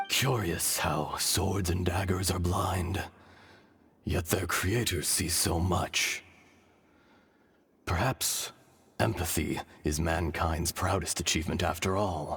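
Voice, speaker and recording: In a cartoonish character voice, a man speaks very deep and low at a fairly slow pace, leaving long, frequent pauses. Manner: solemn, measured.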